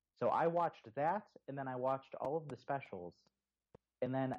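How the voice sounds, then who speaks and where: In an American accent, a man talks at a fairly quick pace with ordinary pitch variation and an unremarkable speaking voice. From Texas, Houston. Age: 20s. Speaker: motoring journalist and podcaster. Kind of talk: casual chat.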